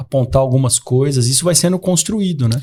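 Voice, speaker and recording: A man's dark, mellow tone, somewhat breathy, at a fairly quick pace. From Brazil, São Paulo state interior (Catanduva). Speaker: psychiatrist. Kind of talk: podcast conversation. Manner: hesitant, many fillers and repetitions.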